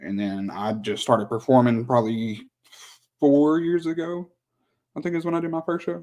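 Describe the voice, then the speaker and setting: This man talks at a moderate pace with a medium pitch and lively intonation. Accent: Oklahoma. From Southern Oklahoma. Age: 20s. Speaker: rapper. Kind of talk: interview. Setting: live stream.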